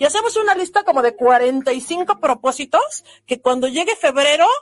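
A woman speaks at a fairly slow pace in a high voice, her pitch swinging very widely. The sound is dry and close, with no echo. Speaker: podcast host, wellbeing coach. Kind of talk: motivational monologue. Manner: warm, gentle and unhurried; sometimes speeds up.

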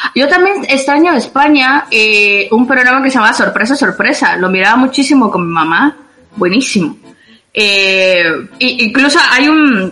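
With noticeable background noise behind her, a woman uses a raised, projected voice at a high pitch, her pitch swinging very widely while her loudness stays very even at a moderate pace. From Guatemala. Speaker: guest living abroad. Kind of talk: casual chat.

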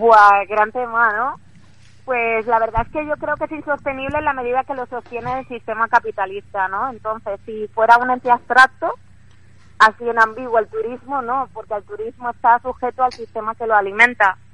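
A woman speaks in a plain, everyday voice, fairly high in pitch. Her intonation stays fairly even at a moderate pace. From Spain, Valencia. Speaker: illustrator. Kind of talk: radio interview. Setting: phone call from the street. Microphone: phone line.

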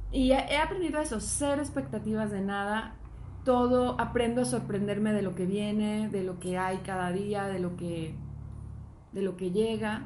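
Audible room echo surrounds a woman of medium pitch who speaks fairly slowly with lively intonation. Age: 40s. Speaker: podcast co-host. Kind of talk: casual chat.

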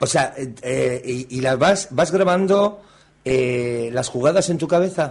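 A somewhat breathy voice with lively intonation at a very slow pace. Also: man, fairly high pitch for a man. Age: 50s. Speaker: radio host. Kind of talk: casual radio interview. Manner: halting.

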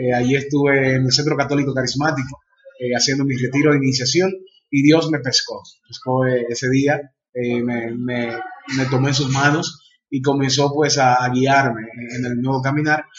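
Somewhat breathy and medium in pitch, a man's voice keeps a moderate pace in a monotone, flat intonation. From Dominican Republic. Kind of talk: interview. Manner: halting, frequent fillers.

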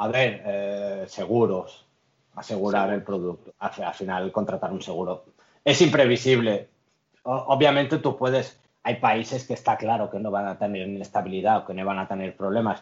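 A man speaks at a moderate pace in a fairly low pitch with ordinary pitch variation. He has a plain, everyday voice. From Spain, Catalonia (Lloret de Mar). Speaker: international trade professional. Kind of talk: interview.

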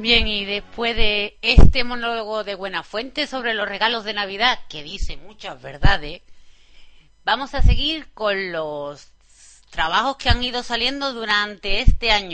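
A woman's normal speaking voice, fairly high in pitch and fairly slow, with big swings in loudness. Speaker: radio host. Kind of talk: radio music show presenting. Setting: studio.

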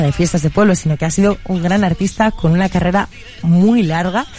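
A woman speaks at medium pitch with ordinary pitch variation and a moderate pace. Music plays in the background. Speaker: radio host. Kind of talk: casual chat.

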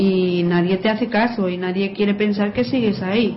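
Through noticeable background noise, a woman speaks at a fairly slow pace with a medium pitch and fairly even intonation. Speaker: writer and graphologist. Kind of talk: radio interview, explanatory.

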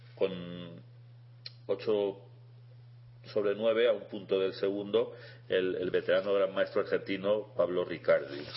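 The speech moves at a fairly slow pace with long, frequent pauses. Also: man. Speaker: chess radio co-host, international master. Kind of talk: casual radio chat. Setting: radio studio.

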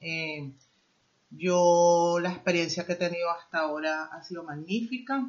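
A woman speaks at a fairly slow pace with a fairly low pitch and ordinary pitch variation. Hers is a plain, everyday voice, with big swings in loudness. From Venezuela. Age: 50s. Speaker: immigrant guest, former manager. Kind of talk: interview.

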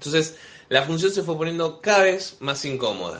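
An animated, bright and sharp tone at a moderate pace. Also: man. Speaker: comedian and podcast host. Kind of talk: casual chat.

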